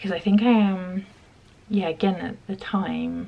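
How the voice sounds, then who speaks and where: A female voice is heard. The accent is British. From UK. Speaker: vlogger. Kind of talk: casual chat.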